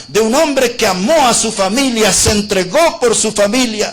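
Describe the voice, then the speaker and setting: Over noticeable background noise, a man talks at a moderate pace in an extremely high pitch. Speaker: preacher. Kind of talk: sermon.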